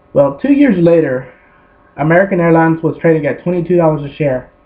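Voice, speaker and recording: A man rattles off his words very rapidly, his intonation fairly level, with noticeable noise in the background. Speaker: amateur stock trader. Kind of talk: presentation. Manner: careful, clear delivery.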